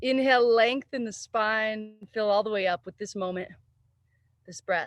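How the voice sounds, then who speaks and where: Heard in a dry, close sound with no echo, a woman with a plain, everyday voice speaks at a fairly high pitch and moderate pace, her intonation fairly even and her loudness swinging widely. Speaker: yoga teacher. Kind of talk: guided yoga class. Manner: calm, soothing.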